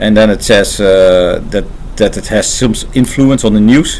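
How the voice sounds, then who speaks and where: A man in a Dutch accent at a fairly slow pace, with noticeable background noise. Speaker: AI engineer and channel host. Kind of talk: casual unscripted talk to camera. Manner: halting, many filler pauses.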